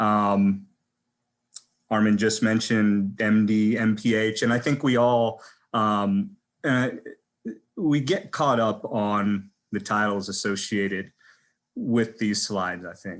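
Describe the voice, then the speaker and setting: A man with an American accent at a very slow pace, fairly even in intonation, with long, frequent pauses and a quiet background. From southern California. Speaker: physician. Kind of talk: panel presentation.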